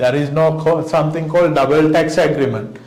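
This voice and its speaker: A man talks at a fairly quick pace with a fairly high pitch. Noticeable background noise and audible room echo fill the recording. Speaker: accountancy lecturer. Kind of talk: lecture. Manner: many fillers and self-corrections.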